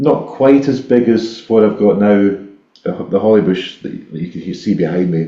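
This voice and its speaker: A man with a Scottish accent, fairly low pitch, ordinary pitch variation, a dark, mellow tone, moderate pace, big swings in loudness and audible room echo. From Scotland, Ayrshire. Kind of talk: casual chat. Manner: halting, many repetitions.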